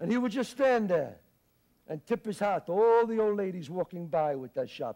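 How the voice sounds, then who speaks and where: A man with an American accent has a high pitch and a dark, mellow tone. His intonation is lively. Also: moderate pace, quiet background. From Bronx, New York. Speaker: actor. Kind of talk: theatrical monologue. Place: stage.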